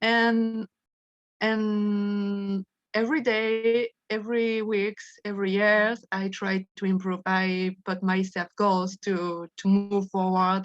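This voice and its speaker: With a French accent, a woman speaks very slowly in a monotone, flat delivery at medium pitch, the sound dry and close with no echo. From France. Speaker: study group participant. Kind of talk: sharing personal experience in group discussion. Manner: halting, many repetitions and self-corrections.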